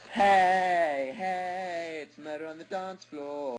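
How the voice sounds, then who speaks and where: A man puts on a character voice pitched high. He speaks very slowly. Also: ordinary pitch variation. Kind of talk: overly posh, exaggerated.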